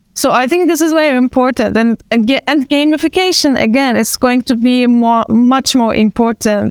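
With a Turkish accent, a woman speaks at a high pitch and a moderate pace. Her pitch varies in an ordinary way, and the sound is dry and close with no echo. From Turkey, Istanbul. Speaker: actor and event organizer. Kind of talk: panel discussion. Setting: video call.

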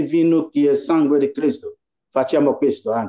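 A man speaks with fairly even intonation. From Ghana. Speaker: pastor. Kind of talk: interview.

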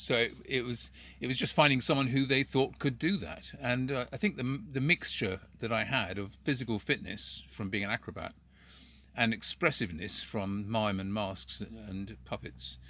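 This man talks at a moderate pace and a medium pitch. His tone is bright and sharp, with vocal fry. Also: ordinary pitch variation. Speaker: puppeteer and former street performer. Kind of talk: casual interview chat. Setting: video call.

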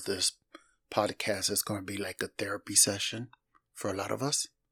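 A somewhat breathy man with a fairly low pitch and ordinary pitch variation speaks at a fairly quick pace, in a dry, close sound with no echo on a very clean recording with a silent background. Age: 50s. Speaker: faith podcast host. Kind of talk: podcast intro monologue.

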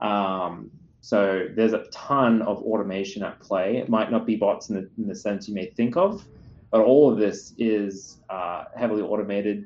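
A man with an Australian accent, fairly low in pitch, at a moderate pace with fairly even intonation. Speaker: security company CEO. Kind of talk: interview.

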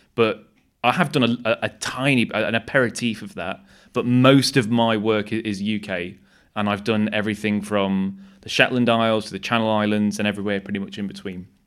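On a very clean recording with a silent background, a man with an East Midlands accent speaks at a fairly quick pace in a fairly low pitch with fairly even intonation. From Nottingham, England. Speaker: wildlife cameraman. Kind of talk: casual chat.

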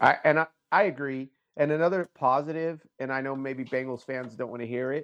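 This man has a normal speaking voice. His pace is moderate. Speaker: sports podcast co-host. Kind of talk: casual sports banter. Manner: casual, profane, conversational.

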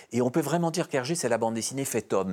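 Pitched fairly high, a man speaks with lively intonation on a very clean recording with a silent background. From Belgium. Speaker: comics historian and author. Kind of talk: interview. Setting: studio. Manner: hesitant, frequent fillers and repetitions.

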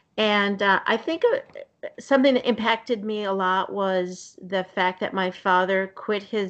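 A woman speaks in an unremarkable speaking voice. Her pace is fairly slow. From US Northeast, Somerville near Boston. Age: 60s. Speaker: nurse and nutrition coach. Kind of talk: casual chat. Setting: video call.

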